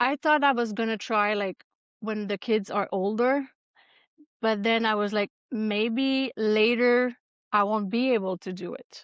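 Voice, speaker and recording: A fairly high-pitched woman with a Quebec accent, at a fairly slow pace, in a dry, close sound with no echo. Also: fairly even intonation, quiet background. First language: French. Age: 40s. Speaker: ultrarunner. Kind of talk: interview. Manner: halting.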